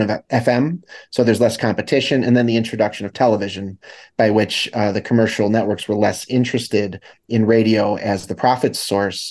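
An ordinary speaking voice from a man with an American accent, medium in pitch and fairly quick, over a quiet background. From US Midwest, Chicago. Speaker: media studies professor and author. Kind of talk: interview.

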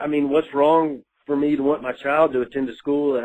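This man has a Southern US accent. He talks at a moderate speed. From Mississippi. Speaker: listener caller. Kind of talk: voicemail message. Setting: phone voicemail.

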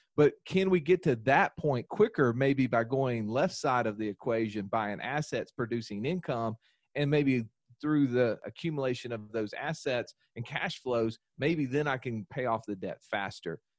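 A man talks with a Southern US accent, the sound dry and close with no echo. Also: medium pitch for a man, ordinary pitch variation, moderate pace, quiet background. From US South. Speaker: financial educator and podcaster. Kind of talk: podcast interview.

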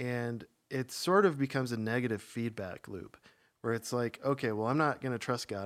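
On a very clean recording with a silent background, a man with an unremarkable speaking voice talks fairly quickly at a medium pitch with ordinary pitch variation. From US Midwest, small-town Minnesota. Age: 30s. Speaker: church member. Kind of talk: personal testimony.

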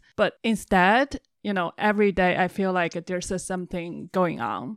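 A Chinese accent at a moderate pace, with ordinary pitch variation, in a very clean recording with a silent background and a dry, close sound with no echo. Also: woman. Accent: Mandarin Chinese accent in English. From China. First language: Mandarin Chinese. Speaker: compound resident. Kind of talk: casual chat.

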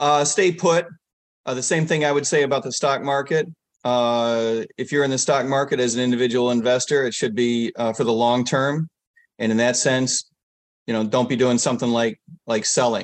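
Ordinary pitch variation runs through a man's medium-pitched speech, delivered at a moderate pace. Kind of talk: casual interview. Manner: calm.

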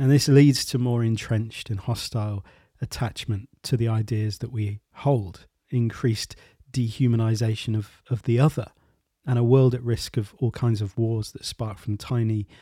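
A man's somewhat breathy, gentle voice with a dark, mellow tone, medium pitch, fairly even intonation and moderate pace, in a very clean recording with a silent background. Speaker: podcast host and creativity coach. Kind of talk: interview podcast with scripted intro. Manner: gentle, reflective.

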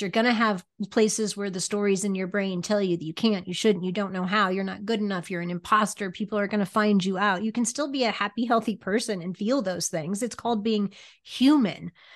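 A woman speaks at a fairly quick pace in an ordinary speaking voice. Her pitch is medium, and the background is quiet. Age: 50s. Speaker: business coach. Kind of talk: interview, personal story.

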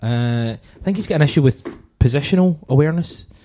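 On a very clean recording with a silent background, a man with a dark, mellow tone talks at a fairly quick pace with lively intonation. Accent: Glaswegian. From Scotland, Glasgow. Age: 30s. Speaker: podcast host. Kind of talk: casual chat.

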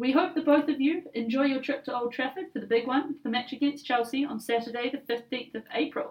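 A woman speaks in a New Zealand accent at a high pitch, with fairly even intonation. Her pace is fairly quick, with hardly any pauses. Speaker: podcast host. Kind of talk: scripted corporate podcast.

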